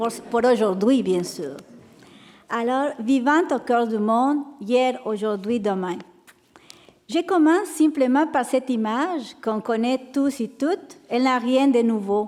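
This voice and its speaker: A high-pitched woman's voice with a Mexican accent and lively intonation, at a very slow pace with long, frequent pauses. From Mexico. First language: Spanish (speaking French). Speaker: panelist, religious sister. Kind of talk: panel talk. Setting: sanctuary with audience.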